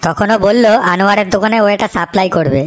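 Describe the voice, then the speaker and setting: Here a woman puts on a cartoonish character voice. She speaks at a moderate pace with fairly even intonation. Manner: crude, swearing.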